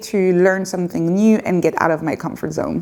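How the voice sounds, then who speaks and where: With a French accent, a woman talks at a moderate pace and a fairly low pitch, with ordinary pitch variation. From France (Paris). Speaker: YouTuber and community founder. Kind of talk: casual Q&A monologue. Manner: hesitant, with fillers.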